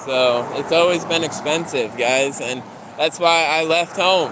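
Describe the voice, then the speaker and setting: Noticeable background noise under a man's voice pitched fairly high. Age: 20s. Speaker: live streamer. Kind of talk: casual livestream chat. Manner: casual, rambling conversational.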